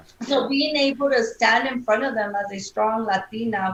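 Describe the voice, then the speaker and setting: The speaker has an American accent and ordinary pitch variation. The pace is moderate, with noticeable background noise. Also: woman. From South Texas (Brownsville area). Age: 40s. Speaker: lawyer and judicial candidate. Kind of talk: interview.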